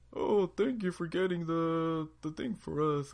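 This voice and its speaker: Someone speaks in a put-on character voice. The delivery moves at a fairly slow pace. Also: man, high pitch for a man. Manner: gentle, thankful.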